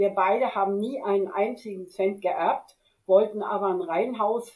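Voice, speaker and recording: A woman speaks at a medium pitch with ordinary variation in it. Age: 80s+. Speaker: retired teacher and stock investor. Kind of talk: interview.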